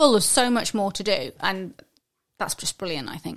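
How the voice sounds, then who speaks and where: A woman speaks with an English accent. Her pace is fairly quick. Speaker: podcast co-host. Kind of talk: casual chat.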